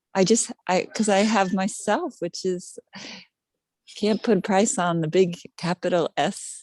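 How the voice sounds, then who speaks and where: In a plain, everyday voice, a woman talks at a fairly slow pace and medium pitch with ordinary pitch variation, the sound dry and close with no echo. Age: 60s. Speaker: card reading client. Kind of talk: casual chat. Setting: video call.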